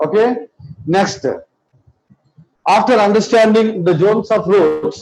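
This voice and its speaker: Someone with a Telugu accent speaks at a fairly slow pace with ordinary pitch variation and audible room echo. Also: man, high pitch for a man. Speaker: biology teacher. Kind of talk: lecture.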